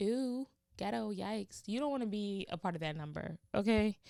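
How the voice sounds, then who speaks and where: A woman speaks with an animated tone at a medium pitch. The sound is dry and close, with no echo. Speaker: podcast host. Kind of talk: motivational podcast monologue.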